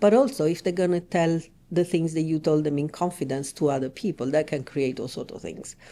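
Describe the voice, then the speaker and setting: A woman's very deep, low voice with a dark, mellow tone, a fairly quick pace and ordinary pitch variation. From Italy, Rome. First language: Italian. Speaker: relationship coach. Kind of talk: podcast interview.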